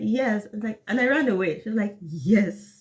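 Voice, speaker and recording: The speaker has a Nigerian accent and an animated tone. The pace is moderate. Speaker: English teacher. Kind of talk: live class chat.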